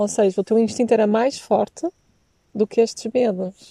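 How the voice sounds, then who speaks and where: At a moderate pace, a woman speaks in a dark, mellow tone, recorded with a dry, close sound and no echo. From Portugal. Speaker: podcast host. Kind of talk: interview. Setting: outdoors by a lake.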